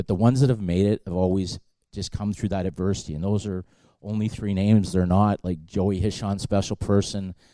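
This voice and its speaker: Using a plain, everyday voice, a man talks at a fairly quick pace with a fairly low pitch and fairly even intonation. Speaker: hockey scout. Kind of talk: live podcast interview. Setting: stage with audience.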